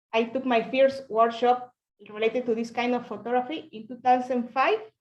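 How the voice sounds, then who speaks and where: A woman with a Spanish accent speaks at a moderate pace in a high pitch, her intonation fairly even and her loudness swinging widely. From Mexico (Oaxaca). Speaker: pinhole photographer. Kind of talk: presentation on video call. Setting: video call.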